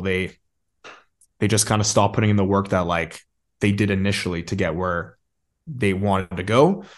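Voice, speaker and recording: A man with a fairly low pitch and an ordinary speaking voice, against a quiet background. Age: 20s. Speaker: marketing agency owner and entrepreneur. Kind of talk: casual interview.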